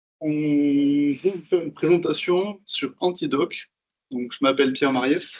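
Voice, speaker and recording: A man with a Toulouse accent, fairly high-pitched, fairly slow, with fairly even intonation. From southern France, Toulouse. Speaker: software developer. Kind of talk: conference talk.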